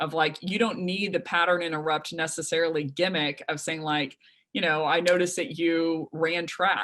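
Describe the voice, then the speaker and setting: A woman speaks at a fairly quick pace with a fairly low pitch. Her pitch variation is ordinary. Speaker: sales trainer and company founder. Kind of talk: webinar presentation. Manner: fast.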